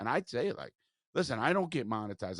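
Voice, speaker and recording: An American-accented man speaks very fast in an animated tone, with a dry, close sound, no echo, and a quiet background. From South Florida. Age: 60s. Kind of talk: casual interview chat. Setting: mobile studio. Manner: animated, profane.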